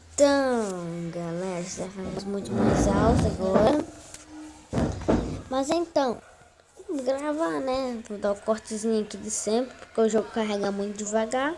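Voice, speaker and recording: A woman's fairly high voice with lively intonation, a fairly slow pace, long, frequent pauses and noticeable background noise. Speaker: gaming YouTuber. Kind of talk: gameplay commentary. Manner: soft-spoken; casual.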